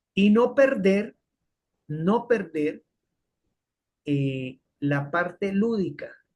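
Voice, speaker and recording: A man speaks with lively intonation. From Colombia. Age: 60s. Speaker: physiology professor. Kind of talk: lecture.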